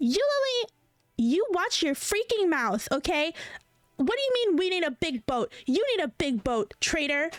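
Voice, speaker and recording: A woman puts on a shrill character voice at an extremely high pitch, with very wide pitch swings. She keeps a moderate pace and very even loudness. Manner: scolding, angry.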